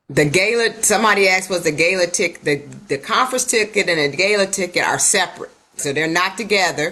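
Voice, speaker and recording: An unremarkable speaking voice from a woman, medium in pitch, at a fairly quick pace with ordinary pitch variation. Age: 60s. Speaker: network marketing coach. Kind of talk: casual chat. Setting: video call.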